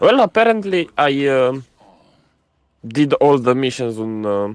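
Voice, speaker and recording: This man's voice swings very widely in pitch as he talks with a non-native accent. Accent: non-native English, sounds funny. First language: not English. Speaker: gamer streamer. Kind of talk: casual chat while gaming.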